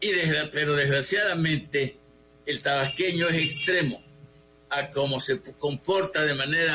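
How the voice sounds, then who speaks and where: Music plays in the background as the speaker talks at a very slow pace. The intonation is fairly even. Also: man. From Mexico, Tabasco (Huimanguillo). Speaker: city historian. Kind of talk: radio interview.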